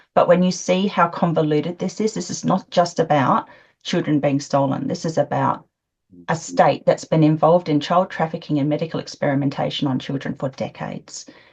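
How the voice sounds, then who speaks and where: Using vocal fry, a woman with an Australian accent speaks at a fairly quick pace in a very deep, low pitch with ordinary pitch variation. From Australia, Adelaide. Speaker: interviewee, witness in crime case. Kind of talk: interview. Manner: laughs while talking.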